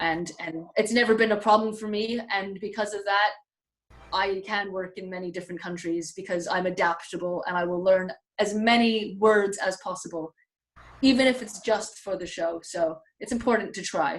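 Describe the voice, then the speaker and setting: A woman's plain, everyday voice, medium in pitch, with ordinary pitch variation and big swings in loudness. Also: moderate pace. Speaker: magician. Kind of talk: interview.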